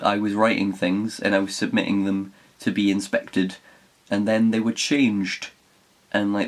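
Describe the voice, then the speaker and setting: The speaker has a Geordie accent and a moderate pace. Noticeable background noise runs underneath. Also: man. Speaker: writer. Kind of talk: casual talk to camera.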